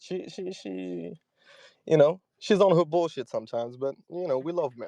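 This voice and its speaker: Over a quiet background, a man speaks at a moderate pace in a dark, mellow tone, his fairly high pitch carrying lively intonation and big swings in loudness, the sound dry and close with no echo. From Morocco. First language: Arabic. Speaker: caller. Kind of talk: casual call-in chat.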